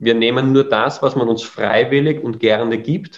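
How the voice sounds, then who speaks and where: A man speaks with an Austrian accent. His pitch is medium, with ordinary variation. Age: 30s. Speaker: education founder. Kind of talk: interview.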